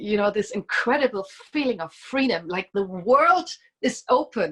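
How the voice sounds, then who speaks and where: This woman talks at a fairly slow pace with a German accent. Her fairly high voice moves through very wide pitch swings. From East Germany. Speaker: musician. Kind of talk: casual chat.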